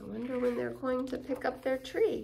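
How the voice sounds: A woman's high voice with vocal fry and a slightly mellow tone, at a moderate pace with fairly even intonation, and audible room echo.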